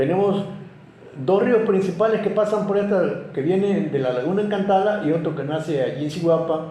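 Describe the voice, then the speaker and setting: A man talks at a high pitch and moderate pace, with audible room echo and noticeable background noise. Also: ordinary pitch variation. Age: 80s+. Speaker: local historian. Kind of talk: interview. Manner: halting, with many repetitions.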